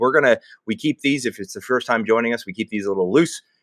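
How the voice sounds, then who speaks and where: A man speaks at medium pitch with lively intonation. The sound is dry and close with no echo, and the background is quiet. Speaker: webinar host. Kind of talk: webinar interview.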